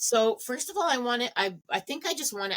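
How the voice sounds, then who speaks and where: Using a plain, everyday voice, a woman talks at a fairly slow pace with lively intonation. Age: 60s. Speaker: radio interviewer, podcast co-host. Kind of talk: interview.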